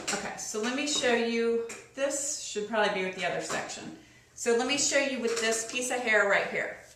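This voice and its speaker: A woman's fairly high voice with fairly even intonation, audible room echo and noticeable background noise. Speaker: beauty vlogger. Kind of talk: tutorial. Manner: slow.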